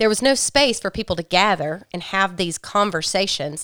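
A woman with a Southern US accent, in a dry, close sound with no echo. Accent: Southern US (Georgia). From US South, rural Georgia mountains. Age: 40s. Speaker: farmer. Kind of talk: casual chat. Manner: loud.

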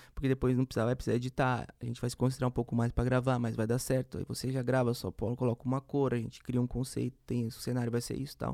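A man's dark, mellow voice at medium pitch runs very fast in a flat monotone with hardly any pauses, recorded dry and close with no echo against a silent background. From Campo Grande, Mato Grosso do Sul, Brazil. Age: young. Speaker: music producer. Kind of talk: interview.

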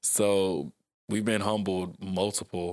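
Soft-spoken, a man with an American accent talks in a very deep, low voice with monotone, flat intonation. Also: very clean recording, silent background. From South Georgia, US. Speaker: author and motivational speaker. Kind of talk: casual interview chat. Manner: soft-spoken, laid back.

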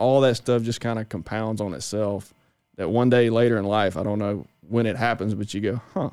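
A man with a Mississippi accent talks at a fairly quick pace with fairly even intonation, on a very clean recording with a silent background. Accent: Southern US (Mississippi). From northern Mississippi. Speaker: agronomist. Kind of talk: casual chat.

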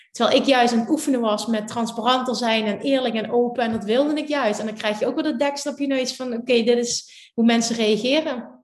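Speaking at a fairly quick pace with hardly any pauses, a woman with a Limburg accent uses a high pitch and fairly even intonation. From Limburg, Netherlands. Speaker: law of attraction teacher. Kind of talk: casual interview.

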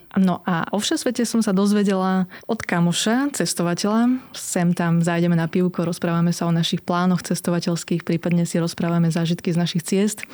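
A woman with a fairly low pitch speaks at a moderate pace in a normal speaking voice, barely pausing at all. Her loudness stays very even and her pitch varies in an ordinary way. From eastern Slovakia. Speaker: blogger and runner. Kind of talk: casual interview. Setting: studio.

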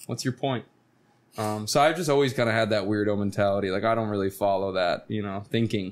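A man talks very fast with an American accent. His pitch is fairly low, with ordinary variation. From Florida. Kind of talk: casual chat.

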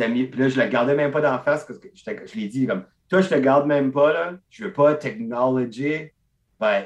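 This is an ordinary speaking voice. A man of medium pitch talks at a moderate pace. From Acadian peninsula, northeast New Brunswick. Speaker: stand-up comedian. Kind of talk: casual chat.

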